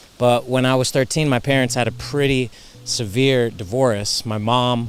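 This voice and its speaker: Music plays behind a man with an American accent. His intonation is fairly even. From US East Coast. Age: 30s. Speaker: cancer survivor sharing faith story. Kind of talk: testimony.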